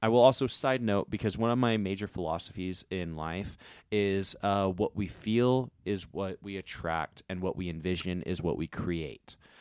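A man talks in an unremarkable speaking voice at a moderate pace with hardly any pauses, his fairly low pitch showing ordinary variation, the sound dry and close with no echo. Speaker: podcast co-host. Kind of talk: casual chat.

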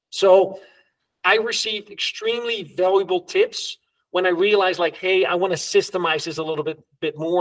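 A man speaks at a fairly quick pace with a high voice and a Dutch accent. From Netherlands. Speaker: entrepreneur, LinkedIn creator. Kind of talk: interview, casual chat.

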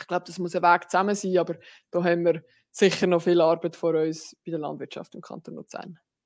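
A woman speaks at a fairly quick pace in a fairly low pitch. Her intonation is monotone and flat, while her loudness swings widely. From rural canton of Lucerne, Switzerland. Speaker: politician, party general secretary. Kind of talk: casual interview.

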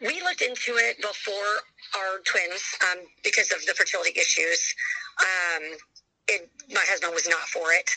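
A woman speaks at a moderate pace. Her speech has long, frequent pauses. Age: 40s. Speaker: mother sharing fertility journey. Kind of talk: interview testimony. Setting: phone call. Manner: loud.

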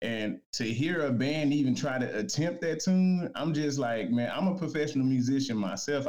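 Speaking at a moderate pace with lively intonation, a man uses an unremarkable speaking voice with an American accent. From Dallas, Texas. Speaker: professional musician. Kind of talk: casual chat. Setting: remote call-in.

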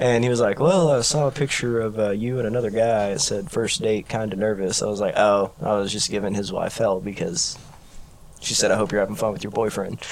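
At a fairly quick pace, a man with an ordinary speaking voice and a fairly low pitch speaks with ordinary pitch variation. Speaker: podcast host. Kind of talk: casual chat.

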